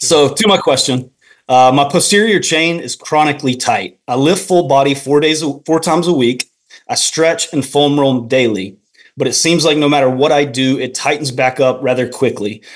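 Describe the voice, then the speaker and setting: With an American accent, a man talks at a moderate pace and ordinary pitch variation. The background stays quiet. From North Carolina. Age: 30s. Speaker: pastor. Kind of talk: call-in question. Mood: friendly, calm. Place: home room. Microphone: video call.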